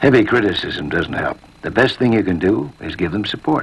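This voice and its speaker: Lively intonation marks this fairly quick delivery. There is noticeable background noise. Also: man, fairly low pitch for a man. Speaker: narrator. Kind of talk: educational film narration.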